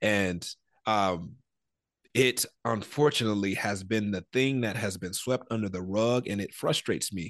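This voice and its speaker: A man with an American accent has an unremarkable speaking voice. He speaks at a moderate pace against a quiet background. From Detroit, Michigan. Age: 30s. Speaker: ministry founder. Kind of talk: interview, personal testimony.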